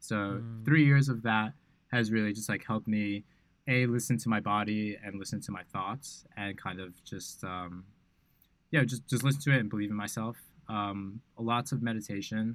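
Here a man talks at a moderate pace with a fairly low pitch for a man and ordinary pitch variation. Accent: American. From New York. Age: 20s. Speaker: software developer and startup founder. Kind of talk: casual chat. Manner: casual, halting with many fillers.

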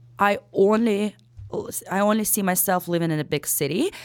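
A woman in a Ukrainian accent at medium pitch and a moderate pace, ordinary pitch variation, very clean recording with a silent background. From Ukraine. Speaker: real estate broker. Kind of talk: casual interview chat.

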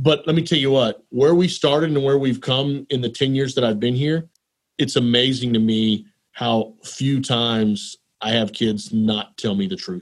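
A man with a Texan accent talks at a moderate pace and medium pitch with ordinary pitch variation. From Texas. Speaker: elementary school principal. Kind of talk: casual interview.

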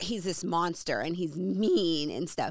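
Speaking at a fairly slow pace, a woman uses a plain, everyday voice with fairly low pitch, and the sound is dry and close with no echo. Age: 30s. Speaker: podcast host, entrepreneur and mother. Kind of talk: casual faith conversation.

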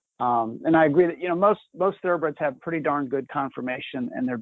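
This man talks very fast, his pitch varying in an ordinary way. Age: 50s. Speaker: president of a racehorse retraining nonprofit. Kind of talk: live webinar Q&A.

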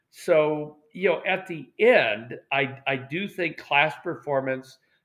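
With an American accent, a man speaks with ordinary pitch variation over a quiet background. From US West Coast, Portland, Oregon. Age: 60s. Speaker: retired university admissions administrator. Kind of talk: interview.

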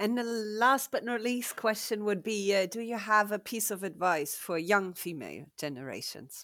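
A woman with a German accent speaks at a moderate pace and medium pitch in a bright, sharp tone, with hardly any pauses. The recording is very clean, with a silent background. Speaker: podcast host. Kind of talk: interview.

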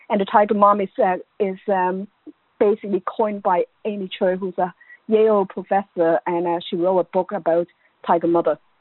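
This is a woman speaking with an Irish accent. Her intonation stays fairly even. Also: medium pitch for a woman, fairly quick pace. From Ireland. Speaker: education academic. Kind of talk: interview.

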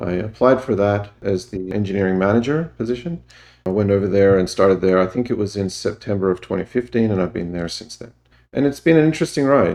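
A fairly low-pitched man with an Australian accent at a very fast pace. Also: lively intonation, quiet background. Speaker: engineering manager. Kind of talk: interview.

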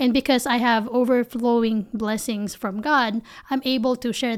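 A woman speaks in a Filipino accent at a fairly high pitch. Her intonation is fairly even. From Philippines. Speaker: business founder and CEO. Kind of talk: interview.

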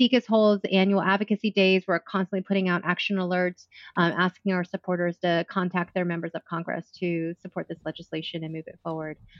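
A woman talks in an ordinary speaking voice at a medium pitch. Her pace is fairly quick and her intonation fairly even. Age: 40s. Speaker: president of a sex education nonprofit. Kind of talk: interview.

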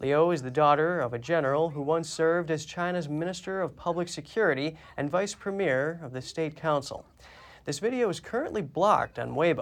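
An ordinary speaking voice from a man, fairly high in pitch with ordinary variation, at a fairly quick pace against a quiet background. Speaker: news anchor. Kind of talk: news reading. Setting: studio.

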